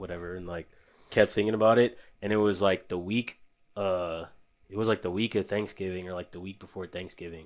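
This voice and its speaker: In a very clean recording with a silent background, a man talks at a fairly quick pace with fairly even intonation. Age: 20s. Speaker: groom, security worker. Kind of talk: casual interview. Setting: studio.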